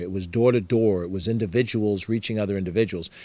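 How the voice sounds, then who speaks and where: A man with a New York accent talks at a fairly quick pace in a fairly low pitch. His intonation is fairly even on a very clean recording with a silent background. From Mount Vernon, New York, US. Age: 60s. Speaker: politician. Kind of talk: campaign talk. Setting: house party with audience.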